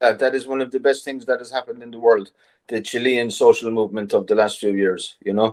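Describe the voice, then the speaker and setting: The man's voice sits at medium pitch with fairly even intonation. He talks very fast, and his loudness swings widely. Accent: Irish. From Ireland. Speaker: writer. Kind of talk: interview. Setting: video call.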